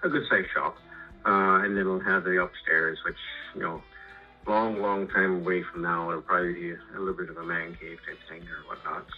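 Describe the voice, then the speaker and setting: A man talks at a moderate pace with big swings in loudness. Faint music plays in the background. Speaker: guest. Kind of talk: interview answer. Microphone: phone line.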